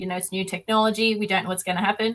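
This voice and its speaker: A woman speaks with an Australian accent at medium pitch. Her intonation is fairly even. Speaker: activist touring on a bus. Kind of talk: interview on a video call.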